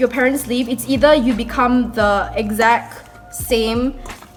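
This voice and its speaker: Over music in the background, a woman talks at a fairly slow pace with a high pitch and fairly even intonation. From Malaysia. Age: young. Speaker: vlogger. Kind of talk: casual talk to camera. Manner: chatty.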